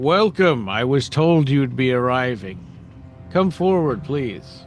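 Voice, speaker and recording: A man puts on a booming character voice at a medium pitch and a fairly slow pace. Clear music plays in the background. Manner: welcoming, formal.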